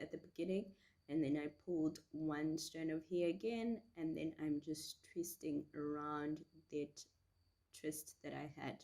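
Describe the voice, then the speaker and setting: Very deep, low tones from a woman, at a fairly slow pace. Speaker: beauty vlogger. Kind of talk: tutorial. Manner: casual, chatty.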